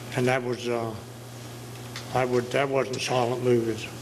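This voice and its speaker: A man with an American accent speaks at a moderate pace in a monotone, flat way, with noticeable background noise. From Outer Banks, eastern North Carolina; North Carolina. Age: 80s+. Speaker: retired commercial fisherman; local storyteller. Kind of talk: storytelling interview. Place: hall. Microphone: handheld.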